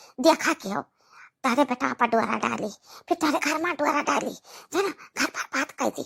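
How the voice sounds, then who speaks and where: A woman performs a put-on character voice, recorded with a dry, close sound and no echo. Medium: comedy sketch. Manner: scolding, taunting.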